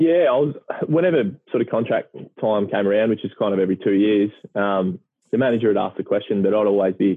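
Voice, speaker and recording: A man talks very fast at a fairly low pitch. His pitch varies in an ordinary way. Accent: Australian. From country Victoria, Australia. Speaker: retired professional footballer. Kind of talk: casual chat.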